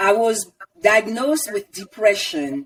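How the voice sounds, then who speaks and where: A woman of medium pitch in a French accent, at a very slow pace. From Ivory Coast. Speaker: wellness coach, former engineer. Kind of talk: interview.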